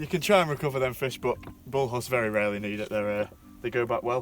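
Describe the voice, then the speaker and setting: A man at medium pitch with lively intonation and a fairly quick pace, music in the background. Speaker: fishing channel host. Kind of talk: casual on-camera commentary. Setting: outdoors on a boat. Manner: loud.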